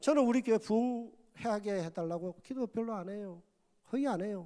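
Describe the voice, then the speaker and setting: With lively intonation and a high pitch, a man speaks at a moderate pace. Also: very clean recording, silent background. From Korea, Gyeongsang province. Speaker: pastor. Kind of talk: sermon. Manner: loud.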